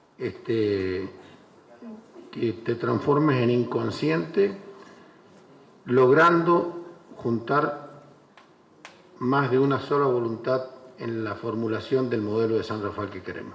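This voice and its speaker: Over noticeable background noise and audible room echo, a man with a medium pitch speaks at a very slow pace, using lively intonation and long, frequent pauses. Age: 60s. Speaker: former mayor. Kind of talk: panel speech. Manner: halting.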